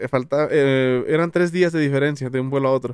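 Fairly high male voice with ordinary pitch variation, dry and echo-free, against a quiet background. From Jalisco, Mexico (Tamazula); Jalisco, Mexico. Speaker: YouTuber; podcast guest. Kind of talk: casual chat. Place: studio. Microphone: studio mic.

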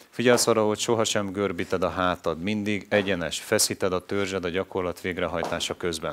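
The speaker moves at a fairly quick pace with hardly any pauses and fairly even intonation over light background noise. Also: man, very deep, low pitch for a man. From Hungary. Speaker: fitness instructor. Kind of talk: tutorial. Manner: clear, instructive, encouraging. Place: studio. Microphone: headset.

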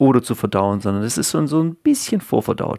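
A man speaks at a fairly quick pace in a very clean recording with a silent background and a dry, close sound with no echo. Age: 30s. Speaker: YouTuber talking about health. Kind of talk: casual video monologue. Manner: hesitant, many filler sounds.

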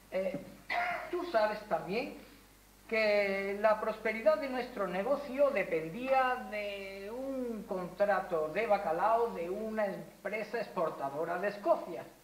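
Audible room echo surrounds a woman who speaks at a very slow pace with lively intonation. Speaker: stage actor. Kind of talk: theatrical dialogue, projected delivery. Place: stage. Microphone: camera far.

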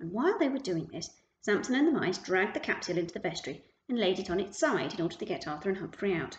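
Someone is reading aloud in a natural voice, with lively intonation and a quiet background.

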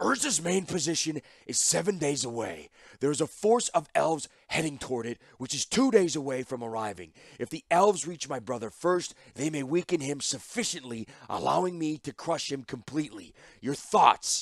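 A put-on character voice at a moderate pace. The sound is dry and close, with no echo. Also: man, fairly high pitch for a man, lively intonation. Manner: cold, commanding, curt.

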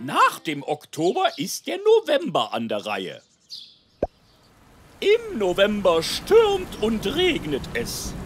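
A cartoonish character voice moves at a slow pace with a slightly husky edge. Its pitch swings are very wide, and faint music plays in the background.

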